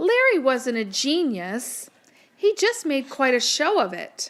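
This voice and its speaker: Very wide pitch swings in a put-on character voice at a fairly slow pace. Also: woman, high pitch for a woman. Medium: read story. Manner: warm, motherly.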